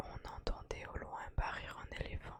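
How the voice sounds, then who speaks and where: Whispering at a very slow pace, a woman keeps a calm tone over noticeable background noise. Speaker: ASMR content creator. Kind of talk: ASMR poetry reading and counting to help sleep. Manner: whispered, calm, slow.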